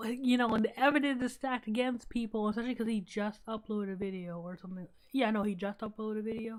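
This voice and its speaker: Speaking at a very fast pace, a woman keeps her intonation fairly even. Her pitch sits fairly high. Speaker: livestreamer. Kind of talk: casual live stream commentary.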